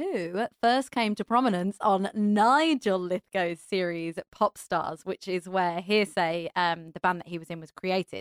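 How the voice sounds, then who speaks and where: With a British accent, the speaker moves at a fairly slow pace with ordinary pitch variation. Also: woman. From England. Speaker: podcast host and stage actor. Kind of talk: interview. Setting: studio.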